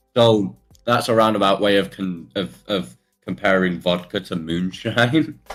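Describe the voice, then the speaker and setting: Someone with a British accent talks at a fairly slow pace with lively intonation. Music plays in the background. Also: man, fairly low pitch for a man. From Britain. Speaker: streamer. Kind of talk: casual chat.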